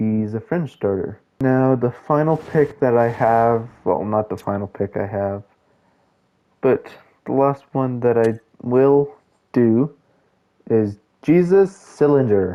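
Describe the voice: Speaking slowly, a man uses a medium pitch with ordinary pitch variation.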